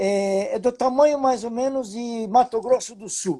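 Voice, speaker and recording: At a fairly slow pace, a man speaks in an extremely high pitch with a dark, mellow tone and ordinary pitch variation. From Brazil, interior of São Paulo state (Itapeva). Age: 70s. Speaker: lean management consultant. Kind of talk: webinar talk. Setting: live video stream.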